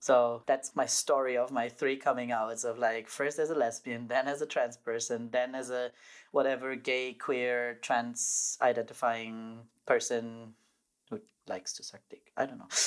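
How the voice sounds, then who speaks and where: A man with a German accent speaks at a fairly slow pace and medium pitch, his intonation monotone and flat but his loudness swinging widely, in a very clean recording with a silent background. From southern Germany. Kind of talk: personal storytelling interview.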